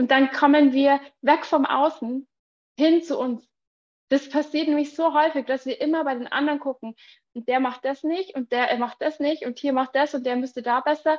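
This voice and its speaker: This woman's voice is high-pitched, and her intonation stays fairly even. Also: moderate pace, dry, close sound with no echo. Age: 30s. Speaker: entrepreneur and mothers' coach. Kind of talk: podcast interview.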